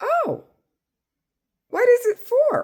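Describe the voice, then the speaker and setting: A woman's squeaky put-on character voice at an extremely high pitch. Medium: read story.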